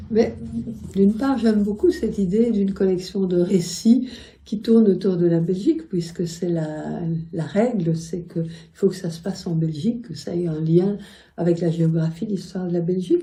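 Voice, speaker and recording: Her voice is somewhat breathy, with a dark, mellow tone. The woman speaks at a fairly slow pace. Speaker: poet and writer. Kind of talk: interview answer. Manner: gentle, gracious.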